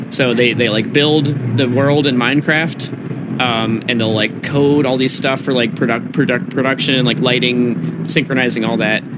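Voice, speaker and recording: A man with an American accent speaks at a moderate pace in a medium pitch, with ordinary pitch variation, very even loudness, hardly any pauses, audible room echo and noticeable background noise. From Massachusetts, US. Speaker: electronic music producer and DJ. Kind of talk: casual interview chat. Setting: on site at a music festival.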